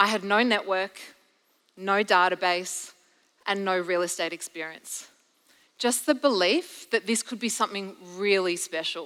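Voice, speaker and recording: A woman with a bright, sharp tone talks at medium pitch and a fairly slow pace, with ordinary pitch variation and long, frequent pauses. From Belgium. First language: French. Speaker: real estate agent and sales director. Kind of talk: conference keynote talk.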